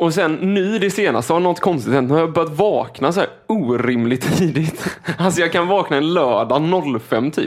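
A man talks in a high pitch with lively intonation and hardly any pauses. His loudness stays very even, and there is noticeable background noise. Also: moderate pace. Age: 20s. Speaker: podcast co-host. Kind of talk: casual chat.

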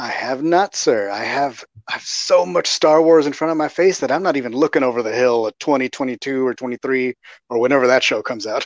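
A man with an unremarkable speaking voice talks at a fairly quick pace, his medium pitch showing ordinary variation. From Texas. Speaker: podcaster and fan. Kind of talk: casual chat. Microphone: frozen connection.

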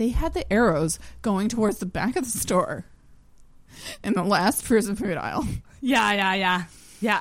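With a Canadian accent, a woman talks at a moderate pace and a medium pitch, using lively intonation and vocal fry, with long, frequent pauses. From Ontario. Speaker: comedian. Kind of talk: casual chat.

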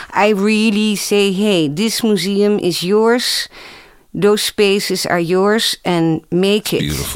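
Speaking at a very slow pace, a woman talks with a Dutch accent. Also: medium pitch for a woman, fairly even intonation. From Netherlands. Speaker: museum director and anthropologist. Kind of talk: panel discussion.

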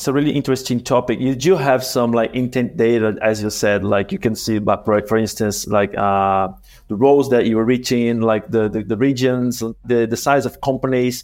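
In a Portuguese accent, a man speaks at medium pitch and a moderate pace with ordinary pitch variation. The recording is very clean, with a silent background. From Brazil. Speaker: podcast co-host, marketer. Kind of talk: interview. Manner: halting, many fillers.

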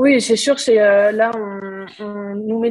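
This woman's voice is fairly high. She talks at a fairly slow pace. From northern France. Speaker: rugby player. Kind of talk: interview.

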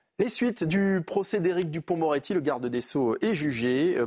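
A plain, everyday voice belongs to this man, who talks at a fairly slow pace, fairly high in pitch with lively intonation, in a very clean recording with a silent background. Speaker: news presenter. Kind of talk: news reading. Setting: studio.

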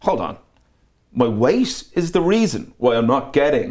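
A man with an Irish accent speaks at a moderate pace with lively intonation. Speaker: DJ and producer. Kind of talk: casual interview chat.

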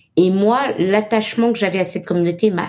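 In an unremarkable speaking voice, a woman talks at a fairly quick pace with medium pitch and ordinary pitch variation. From Benin, Cotonou. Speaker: marketing executive. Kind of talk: interview. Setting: remote call.

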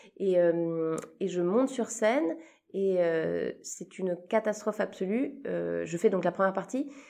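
At a very slow pace, a woman speaks in a dark, mellow tone at medium pitch with lively intonation. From Switzerland. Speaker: comedian. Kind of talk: casual chat. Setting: backstage after a show.

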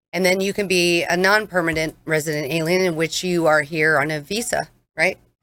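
A woman's fairly low voice with a bright, sharp tone, fairly even intonation and a fairly quick pace. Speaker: mortgage loan originator. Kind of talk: radio interview. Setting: studio.

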